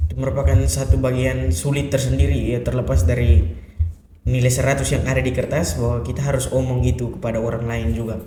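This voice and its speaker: A man with a medium pitch speaks at a moderate pace, his pitch swinging very widely. There is audible room echo along with noticeable background noise. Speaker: theology college student. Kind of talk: podcast interview.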